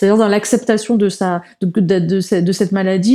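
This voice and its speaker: The tone is dark and mellow, with fairly even intonation. The recording is very clean, with a silent background. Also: woman. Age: 40s. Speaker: comic book author. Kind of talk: interview conversation. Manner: halting.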